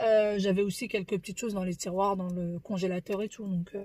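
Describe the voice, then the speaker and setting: A woman's somewhat breathy voice, medium in pitch, moves at a moderate pace in a very clean recording with a silent background. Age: 30s. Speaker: family vlogger. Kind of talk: casual vlog monologue. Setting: in a car. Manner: soft-spoken.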